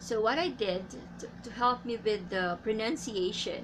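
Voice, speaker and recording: A woman with a Filipino accent speaks at a very slow pace. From Philippines. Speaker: English teacher. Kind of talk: tutorial. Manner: halting.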